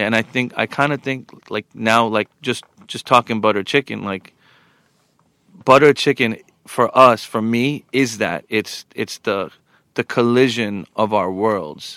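A man with a New York accent and a medium pitch speaks at a fairly slow pace with ordinary pitch variation, his bright, sharp tone caught in a very clean recording with a silent background and a dry, close sound with no echo. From Long Island, New York, US. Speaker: DJ and podcast co-host. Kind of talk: casual chat.

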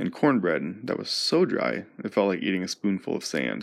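A man speaks at a very deep, low pitch with vocal fry. His pitch swings very widely at a moderate pace. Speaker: podcast host and storyteller. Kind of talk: storytelling narration. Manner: hesitant with fillers.

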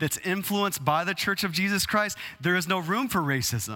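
With a Texas accent, a man talks in a high pitch and a bright, sharp tone on a very clean recording with a silent background. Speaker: pastor. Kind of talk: sermon.

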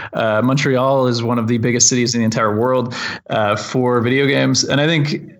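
With a Canadian accent, a man talks at a fairly quick pace and medium pitch, his loudness very even and his intonation fairly even, over noticeable background noise and audible room echo. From Ontario, Canada (Lindsay). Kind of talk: interview. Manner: halting, many fillers.

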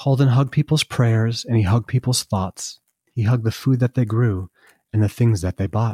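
Somewhat breathy and dark, mellow in tone, a man at medium pitch talks at a fairly quick pace. The recording is very clean, dry and close, with no echo and a silent background. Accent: American. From US Northeast, Vermont. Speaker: artist and children's book author. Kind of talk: children's story reading aloud, rhyming picture-book verse. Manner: rhythmic sing-song rhyming cadence; warm, gentle storyteller delivery.

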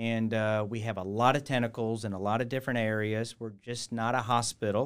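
A man with an American accent talks at a fairly quick pace and medium pitch in an unremarkable speaking voice. The recording is very clean, with a silent background. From US Midwest, Cincinnati, Ohio. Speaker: hospital executive. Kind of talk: interview.

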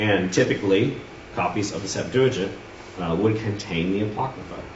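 Over noticeable background noise and audible room echo, a man with a fairly low pitch talks with ordinary pitch variation. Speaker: Sunday school teacher. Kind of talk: lecture. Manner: halting with many fillers.

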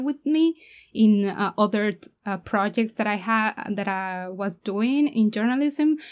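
In a very clean recording with a silent background, a woman with a Spanish accent speaks at a fairly slow pace, fairly high in pitch, with ordinary pitch variation. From Mexico. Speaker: documentary filmmaker. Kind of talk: interview.

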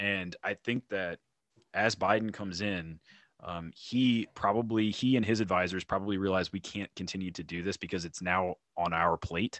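In an American accent, a man with a normal speaking voice talks at a moderate pace, his fairly low pitch held in fairly even intonation. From North Carolina. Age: 30s. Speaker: liberty podcaster. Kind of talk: casual interview chat.

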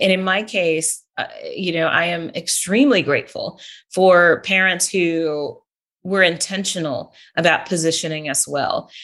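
In an American accent, a woman speaks at a fairly slow pace with a fairly low pitch. She has an ordinary speaking voice. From California. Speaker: professor and coach. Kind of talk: interview conversation.

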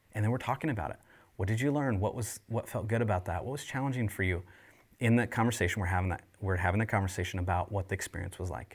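A very fast, somewhat breathy man's voice, fairly low in pitch, on a very clean recording with a silent background. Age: 40s. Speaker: leadership trainer for churches. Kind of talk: casual podcast chat about discipleship.

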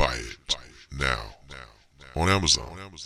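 A man's voice has a bright, sharp tone with vocal fry. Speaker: ad pitchman. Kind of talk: radio ad pitch, street-seller style.

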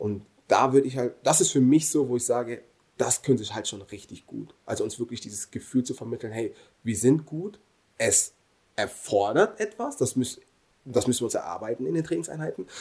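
A man talks at a fairly quick pace and medium pitch. His voice is somewhat breathy, with lively intonation. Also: big swings in loudness. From Germany. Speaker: professional footballer. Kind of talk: casual interview.

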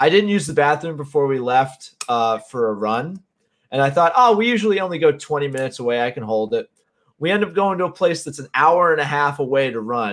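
A man with an ordinary speaking voice and an American accent talks at a fairly quick pace and a fairly high pitch. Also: lively intonation. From Connecticut. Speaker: podcast host. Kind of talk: casual chat.

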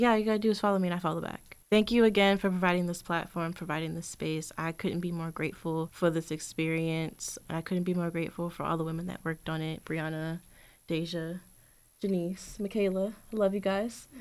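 An unremarkable speaking voice at a fairly quick pace, with fairly even intonation. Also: woman, fairly low pitch for a woman, very clean recording, silent background. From Richmond, Virginia. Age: 20s. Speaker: student fellow. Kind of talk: interview.

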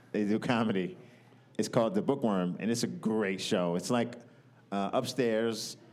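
Here is an unremarkable speaking voice from a man at a medium pitch. His pace is moderate, and his pitch varies in an ordinary way. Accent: American. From New York. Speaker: comedian. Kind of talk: casual chat. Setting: live at a comedy festival.

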